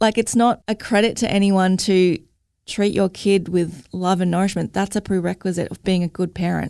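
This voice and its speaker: A woman with an Australian accent talks at a medium pitch and moderate pace, in a dark, mellow tone with fairly even intonation. The sound is dry and close with no echo, in a very clean recording with a silent background. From Logan, Queensland, Australia. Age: 30s. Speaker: mother and mental health advocate. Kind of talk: interview.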